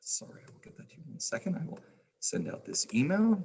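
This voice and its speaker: This man's voice carries vocal fry. He rattles through his words very fast. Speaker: trivia host of a charity livestream. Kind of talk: live-stream hosting.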